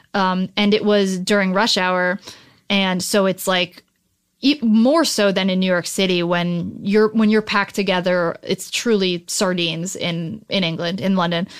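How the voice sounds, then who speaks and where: An unremarkable speaking voice from a woman with an American accent, medium in pitch, fairly slow and fairly even in intonation, on a very clean recording with a silent background. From New Jersey. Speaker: writer. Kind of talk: casual chat.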